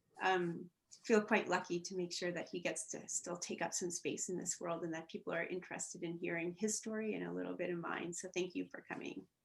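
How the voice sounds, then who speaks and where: A soft-spoken woman's monotone, flat delivery with vocal fry, at a fairly quick pace. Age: young. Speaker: journalist and widow. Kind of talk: personal interview, testimony. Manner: hesitant, repeats words.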